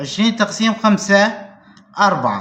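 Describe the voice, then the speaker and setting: A man speaks with a Syrian accent at a high pitch. His pace is fairly slow. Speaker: math teacher. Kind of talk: math lesson to camera.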